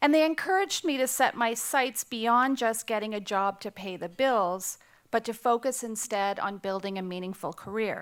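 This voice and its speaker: With a Canadian accent and a normal speaking voice, a woman talks at a moderate pace in a fairly high pitch, her intonation lively and her pauses hardly any, in a very clean recording with a silent background. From Canada. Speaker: nonprofit CEO. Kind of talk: keynote speech.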